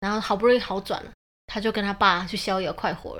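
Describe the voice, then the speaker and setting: This woman talks at a very fast pace with a medium pitch. Her intonation is monotone and flat. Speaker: podcast co-host, mother. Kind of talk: casual chat.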